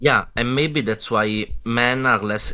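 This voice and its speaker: The man's voice has a bright, sharp tone. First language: not English. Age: young. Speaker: viewer on call. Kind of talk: casual chat. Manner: halting.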